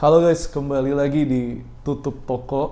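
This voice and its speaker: The tone is dark and mellow, and the pace is fairly slow. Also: man. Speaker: podcast host who runs a shop. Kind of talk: casual chat.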